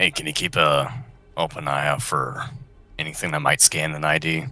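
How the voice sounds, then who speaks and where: A man puts on a character voice, raspy and very deep in pitch. He keeps a moderate pace while faint music plays in the background. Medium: actual play.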